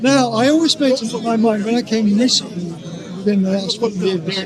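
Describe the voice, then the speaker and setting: Crowd noise fills the background as a man talks. He keeps a moderate pace with ordinary pitch variation. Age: 80s+. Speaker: communist debater at a public speaking corner. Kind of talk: street debate. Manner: halting, repeats words.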